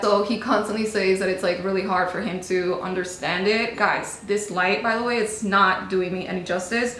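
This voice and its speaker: Over noticeable background noise and audible room echo, a woman with a Spanish accent speaks at medium pitch in a monotone, flat intonation. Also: hardly any pauses. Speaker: beauty vlogger. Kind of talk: casual chat. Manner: chatty, casual.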